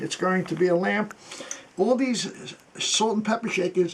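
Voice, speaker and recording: Over noticeable background noise, a man with a high pitch speaks at a fairly slow pace with ordinary pitch variation. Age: 80s+. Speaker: antiques restorer and Korean War veteran. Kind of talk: tutorial. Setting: workshop.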